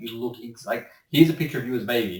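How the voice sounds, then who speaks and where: A somewhat breathy man talks very fast at a medium pitch with ordinary pitch variation. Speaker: voice actor. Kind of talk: casual interview answer.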